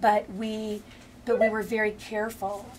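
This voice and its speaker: In an Upper Midwest accent, a woman speaks at a fairly high pitch. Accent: Upper Midwest American. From Minneapolis, Minnesota. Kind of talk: oral history interview answer. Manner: hesitant, conversational.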